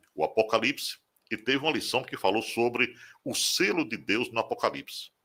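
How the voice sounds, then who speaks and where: A man with a medium pitch and a bright, sharp tone speaks at a moderate pace in a very clean recording with a silent background. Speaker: radio broadcaster and preacher. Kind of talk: interview testimony.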